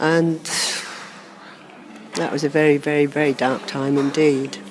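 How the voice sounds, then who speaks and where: A woman with a Norfolk accent, very deep and low in pitch, flat and monotone, at a fairly slow pace over noticeable background noise. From Norfolk, England. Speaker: birth mother reunited with adopted son. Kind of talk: interview testimony. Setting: seated in a cathedral.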